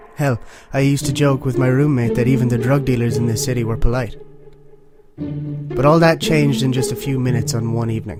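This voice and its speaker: Music plays in the background while the voice moves at a fairly quick pace with ordinary pitch variation. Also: man, medium pitch for a man. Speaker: horror story narrator. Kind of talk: horror story reading.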